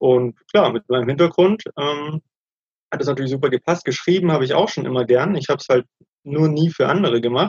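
Somewhat breathy, a man speaks at a fairly quick pace. His pitch is fairly high, with ordinary variation. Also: dry, close sound with no echo. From Germany. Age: 30s. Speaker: digital nomad, former banker. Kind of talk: interview.

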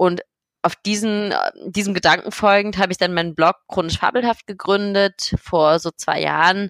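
A woman's normal speaking voice at medium pitch, with fairly even intonation and a moderate pace, in a dry, close sound with no echo. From Berlin, Germany. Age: 20s. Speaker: blogger and patient advocate living with MS. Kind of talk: interview.

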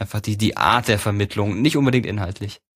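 An unremarkable speaking voice belongs to a man. His pitch is fairly low and varies in an ordinary way. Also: very clean recording, silent background. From Baden-Württemberg, Karlsruhe. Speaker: YouTuber and TV presenter. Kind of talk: casual interview.

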